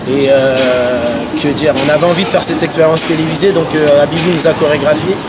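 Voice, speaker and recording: A man speaks at a moderate pace. Loud noise fills the background. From Paris region, France. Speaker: hip-hop dancer. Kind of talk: interview. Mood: relaxed, reflective. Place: street.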